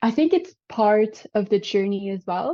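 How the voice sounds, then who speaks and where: A woman's fairly high, dark and mellow voice in a French Canadian accent, at a very slow pace. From Quebec. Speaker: vegan lifestyle coach. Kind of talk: podcast interview.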